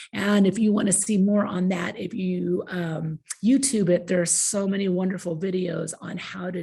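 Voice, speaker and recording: Delivery is at a moderate pace, with hardly any pauses and fairly even intonation. Noticeable background noise is present. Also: woman. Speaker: agricultural education presenter. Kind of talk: conference presentation.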